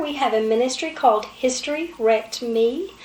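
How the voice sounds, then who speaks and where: Over noticeable background noise, a woman with an Appalachian accent talks at a fairly slow pace with a high pitch. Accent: Appalachian Kentucky. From southeastern Kentucky. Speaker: talk show co-host. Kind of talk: casual talk show chat.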